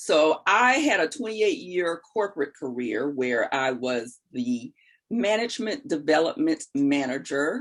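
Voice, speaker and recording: A woman's fairly low voice at a fairly slow pace, with very wide pitch swings. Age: 60s. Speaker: life coach. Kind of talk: interview.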